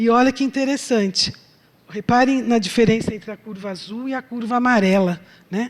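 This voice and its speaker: A woman speaks in an ordinary speaking voice at a moderate pace with fairly even intonation. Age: 60s. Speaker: chemistry professor. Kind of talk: lecture. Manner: conversational, filler-heavy.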